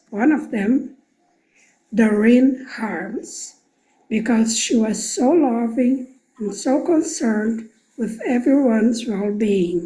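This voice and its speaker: A woman with a Portuguese accent speaks at a very slow pace, her fairly high voice full of lively intonation. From Brazil. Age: 70s. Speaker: program alumna. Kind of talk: recorded video testimony. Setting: pre-recorded video.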